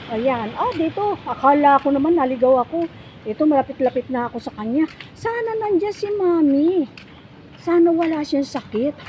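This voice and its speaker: A woman's high-pitched voice moves at a moderate pace, with noticeable background noise around it. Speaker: vlogger. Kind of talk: casual vlog narration. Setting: outdoors.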